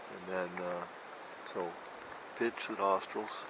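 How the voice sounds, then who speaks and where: A man speaks with a very deep, low pitch at a fairly slow pace. The room echo is audible, and there is noticeable background noise. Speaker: outdoors channel host, moose hunter. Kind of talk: outdoor tutorial. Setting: outdoors in the bush. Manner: casual, halting with fillers.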